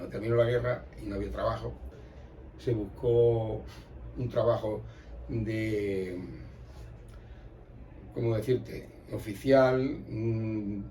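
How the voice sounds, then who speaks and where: Long pauses come often as the man talks. His pace is very slow. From Extremadura, Spain. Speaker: emigrant, folk group member. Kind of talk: oral history interview answer.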